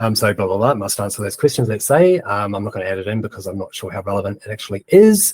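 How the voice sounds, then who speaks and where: A man with a New Zealand accent talks at a very fast pace with hardly any pauses, in a somewhat breathy voice at fairly low pitch with ordinary pitch variation. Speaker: webinar presenter on AI blogging. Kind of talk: tutorial. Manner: dictating prompts aloud with spoken punctuation.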